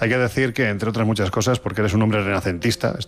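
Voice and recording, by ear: This man talks at a fast pace, his fairly low voice holding a fairly even intonation.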